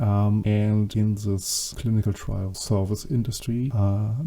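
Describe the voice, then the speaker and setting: The speaker has a German accent. Noticeable background noise is present. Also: man. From Germany. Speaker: podcast host, project director. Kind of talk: solo podcast monologue. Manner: halting, many fillers.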